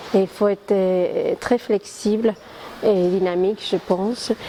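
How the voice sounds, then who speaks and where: Against noticeable background noise, a woman with an Argentine accent speaks at a very slow pace with fairly even intonation. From Argentina. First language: Spanish (speaking French). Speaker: communications professional. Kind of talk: interview. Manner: hesitant, many fillers.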